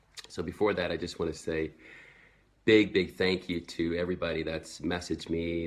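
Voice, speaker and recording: With an American accent, a man talks at a moderate pace in a very deep, low pitch over a quiet background. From Sweden. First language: Swedish. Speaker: network marketing entrepreneur. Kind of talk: personal story vlog. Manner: casual, with fillers.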